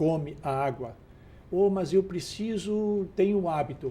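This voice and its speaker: A man with a high pitch, a dark, mellow tone, lively intonation and a very slow pace. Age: 60s. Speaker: health expert guest. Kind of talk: TV talk show interview.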